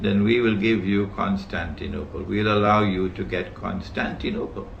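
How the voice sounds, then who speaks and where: Amid noticeable background noise and audible room echo, a man with a fairly low pitch speaks at a moderate pace in a monotone, flat intonation. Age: 70s. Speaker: Islamic scholar lecturer. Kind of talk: lecture. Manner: emphatic.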